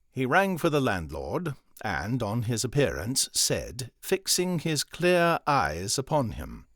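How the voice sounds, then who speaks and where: A man speaks very slowly at a medium pitch, his voice showing vocal fry and very wide pitch swings. The recording is very clean with a silent background, and the sound is dry and close with no echo. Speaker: voice actor. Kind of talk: audiobook narration.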